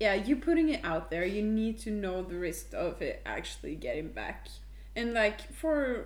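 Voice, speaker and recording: This woman speaks in a Norwegian accent at a moderate pace. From Norway. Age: 20s. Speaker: podcast co-host. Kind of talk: casual chat.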